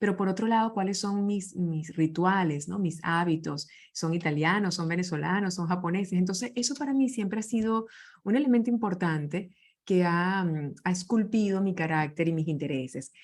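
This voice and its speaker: A woman is speaking with ordinary pitch variation. The background is quiet. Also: medium pitch for a woman, moderate pace. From Venezuela. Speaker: leadership speaker. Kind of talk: interview conversation.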